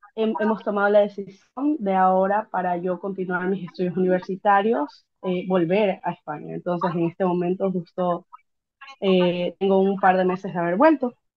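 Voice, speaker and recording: A woman at a medium pitch with ordinary pitch variation and a fairly slow pace. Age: 20s. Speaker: interviewee sharing migration experience. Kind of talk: interview. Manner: hesitant, many fillers.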